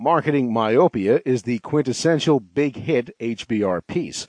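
A man's ordinary speaking voice at a medium pitch, with lively intonation, dry and close with no echo, over a quiet background. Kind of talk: audiobook narration, reading a business article aloud. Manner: formal, measured, even-paced; clear and polished, read from a script.

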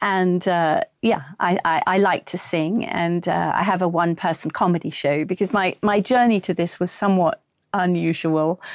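With an English accent, a woman of fairly low pitch talks at a moderate pace with hardly any pauses, very even loudness and fairly even intonation, in a dry, close sound with no echo and a quiet background. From England. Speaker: actress and audiobook narrator. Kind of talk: interview.

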